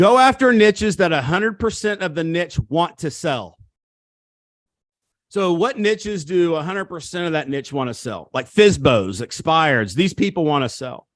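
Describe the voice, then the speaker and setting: A man with an American accent, high in pitch, very wide pitch swings, moderate pace, quiet background. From Missouri. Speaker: real estate coach. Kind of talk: seminar talk. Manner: animated, emphatic.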